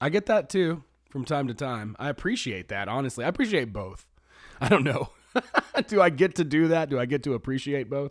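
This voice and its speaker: A fairly high-pitched man with an American accent, fairly quick and lively in intonation, on a very clean recording with a silent background. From US South, Georgia. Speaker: podcast host. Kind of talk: casual chat.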